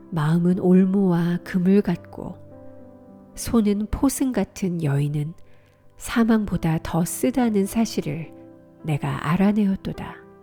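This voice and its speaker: A woman's fairly low, calm voice at a very slow pace, with lively intonation and music in the background. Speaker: voice actor. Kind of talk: scripture reading. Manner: calm, slow.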